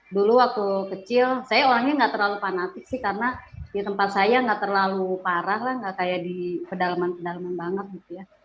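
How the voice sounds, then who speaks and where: With music playing in the background, a woman talks at a moderate pace. Her pitch is medium, with ordinary variation. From Bandung, West Java, Indonesia (Sundanese). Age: 40s. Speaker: religious convert giving testimony. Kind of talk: testimony. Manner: casual, hesitant with fillers.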